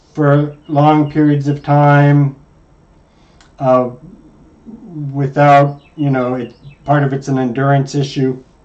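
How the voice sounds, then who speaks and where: A man's fairly high, monotone voice with flat intonation, at a very slow pace. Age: old. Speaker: chess coach. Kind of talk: lesson.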